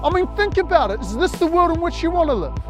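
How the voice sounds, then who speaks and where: A man is speaking. Music plays in the background. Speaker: spoken word poet. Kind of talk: spoken word poetry performance.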